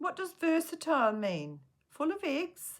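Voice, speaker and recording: A woman does a put-on character voice at an extremely high pitch, speaking at a moderate pace. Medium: read story.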